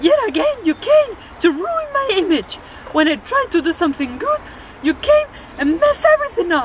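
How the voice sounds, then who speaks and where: A squeaky, extremely high put-on character voice with very wide pitch swings, at a moderate pace over clear background noise. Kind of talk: mock-Shakespearean acting. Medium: stage play.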